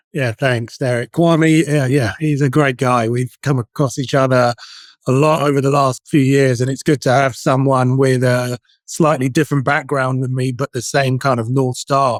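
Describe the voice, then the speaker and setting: On a very clean recording with a silent background and a dry, close sound with no echo, a man with a British accent speaks at a moderate pace in monotone, flat intonation. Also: medium pitch for a man. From UK. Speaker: outsourced CFO. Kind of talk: interview.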